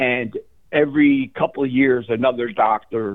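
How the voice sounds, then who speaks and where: With an American accent, a man speaks at medium pitch and a fairly slow pace. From New Jersey. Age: 60s. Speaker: caller. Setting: phone call. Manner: excitable.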